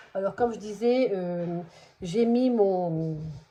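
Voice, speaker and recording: Very slow in pace, a woman speaks in a dark, mellow tone with ordinary pitch variation. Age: 50s. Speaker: budgeting vlogger. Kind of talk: casual vlog tutorial. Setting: at home. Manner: hesitant, many fillers.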